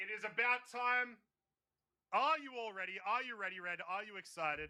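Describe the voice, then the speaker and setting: Raising and projecting his high voice, a man with an Australian accent speaks at a moderate pace in a bright, sharp tone with ordinary pitch variation. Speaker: race commentator. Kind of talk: live commentary. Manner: animated.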